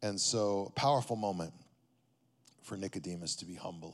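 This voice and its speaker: A man speaks with a West Texas accent and ordinary pitch variation. The recording is very clean, with a silent background. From Texas, Amarillo. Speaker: pastor. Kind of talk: sermon.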